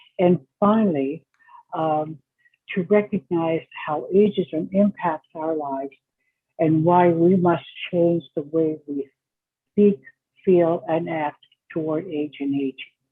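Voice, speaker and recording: Speaking at a very slow pace with long, frequent pauses, a woman holds a fairly low pitch and fairly even intonation. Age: 80s+. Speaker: researcher and advocate for older adults. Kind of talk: keynote presentation.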